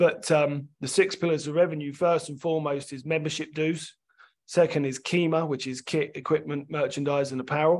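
A man with a London accent speaks at a moderate pace in a fairly high pitch for a man, his intonation flat and monotone while his loudness swings widely. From London, England. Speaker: sports development scientist and rugby coach. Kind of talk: podcast interview.

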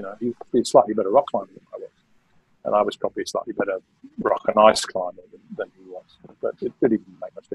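Very fast speech in a southern English accent, with big swings in loudness, dry sound with no echo and a quiet background. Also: man. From London, England. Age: 60s. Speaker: mountaineer and author; podcast guest. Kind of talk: interview storytelling. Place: home room. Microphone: video call.

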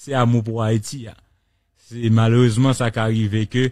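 A man talks at a fairly slow pace in a monotone, flat delivery. The sound is dry with no echo, over a quiet background. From Haiti. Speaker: radio host. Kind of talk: radio talk show. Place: studio. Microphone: studio mic.

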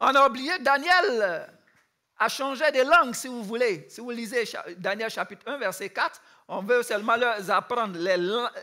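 A man speaks in a raised, projected voice at an extremely high pitch, bright and sharp in tone, with lively intonation and big swings in loudness. His pace is fairly slow, and the background is quiet. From Ivory Coast. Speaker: youth camp speaker; speaker. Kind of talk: sermon. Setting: youth camp with audience. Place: stage.

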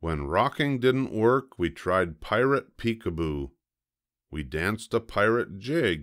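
A man's fairly low, fairly bright voice at a slow pace, with lively intonation, on a very clean recording with a silent background

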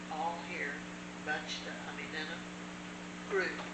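A woman's voice amid loud background noise. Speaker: church teacher. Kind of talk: personal story told in conversation. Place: home room. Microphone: camera far.

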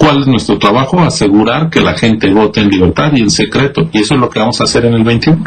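A man is speaking here. His pace is fairly quick and his intonation lively. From Mexico. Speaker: electoral official; council guest. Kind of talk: news interview. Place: home room. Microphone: video call.

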